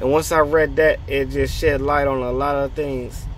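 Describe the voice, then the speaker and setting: Light background noise sits under a dry sound with no echo. A man speaks at a fairly slow pace. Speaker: faith vlogger. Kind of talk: casual vlog chat, preaching. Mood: earnest, encouraging. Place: car. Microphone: phone near.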